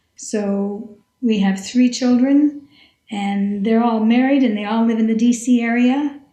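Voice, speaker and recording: A woman with an unremarkable speaking voice talks at a fairly slow pace. Her pitch is fairly high, with fairly even intonation. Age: 60s. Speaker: retired scientist and teacher, long-distance hiker. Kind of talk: podcast interview.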